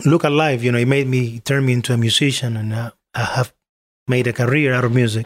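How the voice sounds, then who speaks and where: This man's voice sits at a medium pitch, and he talks at a fairly quick pace. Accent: Spanish. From Cuba, Artemisa. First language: Spanish. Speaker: musician. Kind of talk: interview. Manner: halting.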